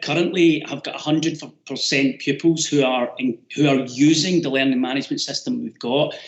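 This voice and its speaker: Speaking in a Glasgow accent, a man uses a fairly high pitch and fairly even intonation. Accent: Scottish (Glasgow). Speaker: teacher. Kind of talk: webinar presentation. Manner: loud.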